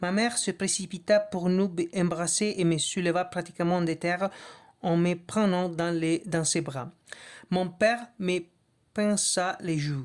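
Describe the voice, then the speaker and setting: Speaking at a very slow pace, a woman with a non-native accent keeps a fairly low pitch and fairly even intonation. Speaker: reader of a book. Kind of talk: reading aloud. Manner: halting, with restarts and hesitations.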